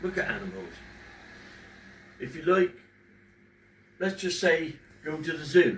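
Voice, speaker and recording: Fairly slow in pace and high in pitch, a man speaks with fairly even intonation in a room with audible echo. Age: 50s. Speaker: father talking about depression. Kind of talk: casual personal talk to camera. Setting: at home in front of a fish tank. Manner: halting, pausing when emotional.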